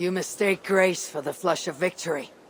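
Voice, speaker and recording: In a put-on character voice, the speaker sounds raspy at a middle pitch and a moderate pace. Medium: video game. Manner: blunt, clipped.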